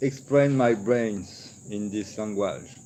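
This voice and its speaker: This is a man speaking with a French accent. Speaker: esoteric video creator. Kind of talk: monologue lecture on esoteric topics. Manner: halting; searches for words.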